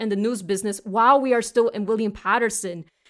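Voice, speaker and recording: On a very clean recording with a silent background, a woman with an American accent speaks at a fairly high pitch. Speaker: student podcast host. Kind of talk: casual chat.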